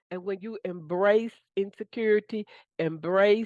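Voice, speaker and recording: Against a quiet background, a woman speaks at a fairly slow pace in an ordinary speaking voice with ordinary pitch variation, and the sound is dry and close with no echo. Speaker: manifestation coach. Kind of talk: motivational talk. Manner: casual.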